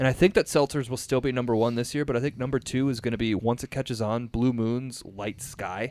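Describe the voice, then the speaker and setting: A man with a plain, everyday voice, medium in pitch, fairly quick and fairly even in intonation, in a very clean recording with a silent background. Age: 30s. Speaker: podcast host. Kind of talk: casual chat.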